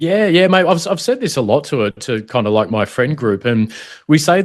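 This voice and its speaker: Talking at a fairly quick pace with lively intonation, a man is heard against a quiet background. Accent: Australian. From Australia (Melbourne, then Sydney). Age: 40s. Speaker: former federal police protection officer. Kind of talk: casual chat. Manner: dynamic and passionate.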